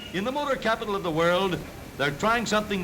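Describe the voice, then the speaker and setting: A man uses a raised, projected voice, its pitch varying in an ordinary way. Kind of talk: newsreel narration. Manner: wry, jaunty.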